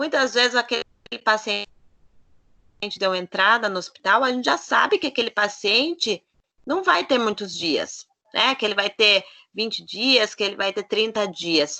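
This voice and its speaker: In a dry, close recording with no echo, a woman speaks fairly slowly at a fairly high pitch, her tone bright and sharp, her intonation lively, with long, frequent pauses. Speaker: nutritionist. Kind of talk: lecture.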